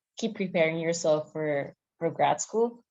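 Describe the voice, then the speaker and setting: A woman with a non-native accent speaks in a fairly low voice, her pitch varying in an ordinary way. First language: not English. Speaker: graduate student panelist. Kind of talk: panel discussion.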